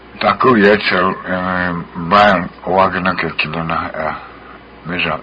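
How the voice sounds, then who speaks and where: Over noticeable background noise, a man speaks in a very deep, low pitch with ordinary pitch variation. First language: Lakota. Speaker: guest speaker. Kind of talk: casual radio chat.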